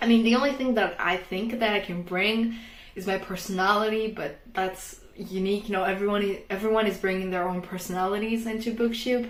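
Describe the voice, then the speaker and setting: Speaking at a fairly quick pace, a woman with a non-native accent has a medium pitch and fairly even intonation. Audible room echo and noticeable background noise are present. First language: not English. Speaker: book vlogger. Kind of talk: casual vlog talk. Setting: bedroom at home.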